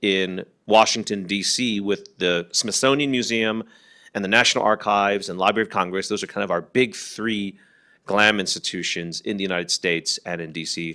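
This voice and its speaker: The recording is very clean, with a silent background. A man speaks at a fairly low pitch in a bright, sharp tone with ordinary pitch variation. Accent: American. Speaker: researcher and workshop presenter. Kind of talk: lecture. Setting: workshop with live audience. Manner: fast.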